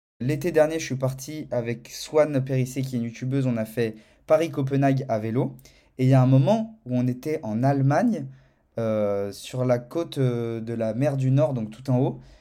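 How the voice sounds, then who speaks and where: Here is a man with a medium pitch. His tone is dark and mellow. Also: ordinary pitch variation, moderate pace. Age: 20s. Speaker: video content creator. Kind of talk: casual testimony. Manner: animated.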